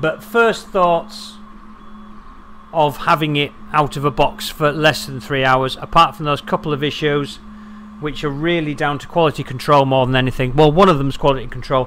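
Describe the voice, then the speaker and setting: Noticeable background noise surrounds a man whose fairly high voice moves at a moderate pace with ordinary pitch variation. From London, England. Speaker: 3D printing YouTuber. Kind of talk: live stream chat and product review. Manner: casual, conversational.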